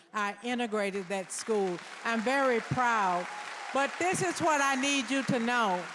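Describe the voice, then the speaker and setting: A woman speaks at a very slow pace with a fairly high pitch and lively intonation, in an American accent. Crowd noise fills the background. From US South, Nashville, Tennessee. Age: 70s. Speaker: deputy mayor. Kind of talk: public speech. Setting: stage with audience. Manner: emotional, emphatic.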